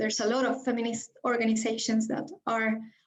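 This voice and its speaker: With a Spanish accent, a woman speaks in a fairly high, somewhat breathy voice and monotone, flat intonation. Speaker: feminist activist. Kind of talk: panel discussion answer. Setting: video call webinar. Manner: hesitant.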